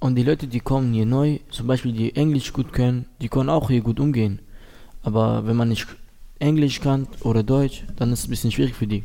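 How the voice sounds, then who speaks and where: At a fairly quick pace, a man speaks with a dark, mellow tone at a medium pitch and fairly even intonation. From Syria. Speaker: youth program participant. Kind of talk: casual interview.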